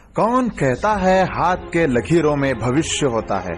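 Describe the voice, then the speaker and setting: Over music in the background, a man with a high-pitched voice sounds energetic and upbeat. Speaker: radio jockey contestant. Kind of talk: radio show promo / jingle read. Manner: energetic, upbeat.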